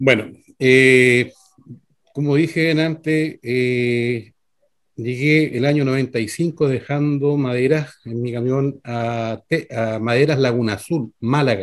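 With fairly even intonation, a man speaks at a very slow pace. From Constitución, Maule region, Chile. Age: 50s. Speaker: mechanic, trucker and council candidate. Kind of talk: political candidate interview. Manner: halting, many fillers. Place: home room. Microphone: video call.

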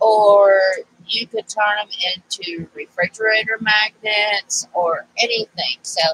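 The voice has a slightly husky edge, a nasal quality and a fairly bright tone, with ordinary pitch variation. The sound is dry and close, with no echo. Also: woman.

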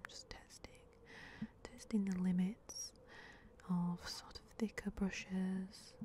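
Soft-spoken and somewhat breathy, a woman speaks in a flat monotone with a dark, mellow tone, the sound dry with no echo over light background noise. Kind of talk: soft roleplay commentary. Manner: soft, hushed ASMR narration. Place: garden. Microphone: phone near.

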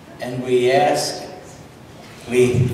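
Strong room echo and light background noise surround speech at a very slow pace. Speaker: pastor. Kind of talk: fervent congregational prayer. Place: church. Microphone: camera far.

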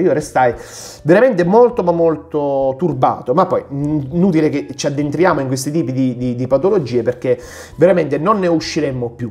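The pace is fairly quick. Pitch varies an ordinary amount. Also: man. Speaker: book reviewer, ophthalmologist; book reviewer. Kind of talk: casual book review monologue. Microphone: phone near.

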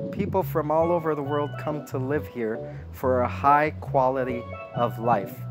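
Clear music plays in the background as a man with an American accent speaks. He talks fairly slowly with lively intonation. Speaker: English instructor. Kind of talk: slow-English language lesson talking to camera. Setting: outdoors by a lake. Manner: slow, clear, deliberate. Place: waterside.

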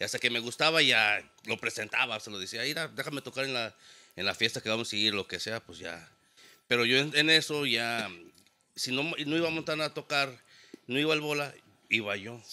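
With a bright, sharp tone, a man speaks at a fairly quick pace, showing ordinary pitch variation and big swings in loudness. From Mexico, San Luis Potosí. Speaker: DJ and audio production business owner. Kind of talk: casual chat. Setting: studio. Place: studio. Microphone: studio mic.

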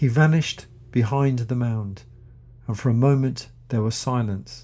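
In a dramatic tone, a man speaks at a fairly slow pace, his medium-pitched voice dark, mellow and somewhat breathy with fairly even intonation, on a very clean recording with a silent background. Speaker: audiobook narrator. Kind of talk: literary audiobook reading, scripted narration. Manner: measured, dramatic, suspenseful storytelling pace; formal, clear, and educational.

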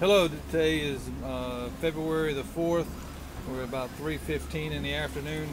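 A man's fairly slow speech over loud background noise. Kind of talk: narrated walkthrough. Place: boat. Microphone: phone near.

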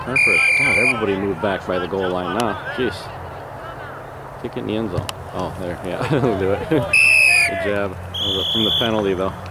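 Noticeable background noise runs under this recording. A man speaks at a fairly low pitch. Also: ordinary pitch variation, moderate pace. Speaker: sideline parent filming youth football. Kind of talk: informal play-by-play commentary. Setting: outdoors at a football field. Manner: animated.

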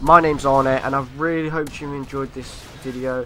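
With a British accent, a man speaks in a fairly high, monotone, flat voice as music plays in the background. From UK. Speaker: gaming YouTuber. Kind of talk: scripted commentary over gameplay. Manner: reading from a script.

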